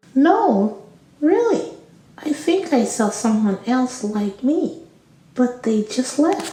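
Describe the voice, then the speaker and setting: In a put-on character voice, a female-sounding speaker talks at a very slow pace and high pitch with slight echo. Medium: audio drama.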